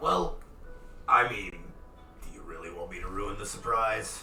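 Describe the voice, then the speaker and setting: A man puts on a raspy character voice at a fairly slow pace. Faint music plays in the background, and there is a slight echo. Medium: actual play. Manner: casual, good-humored salesman.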